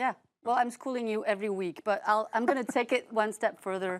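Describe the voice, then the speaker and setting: A woman with a French accent speaks at a fairly high pitch with ordinary pitch variation. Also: very clean recording, silent background. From France. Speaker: podcast host, streaming media analyst. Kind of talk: casual chat.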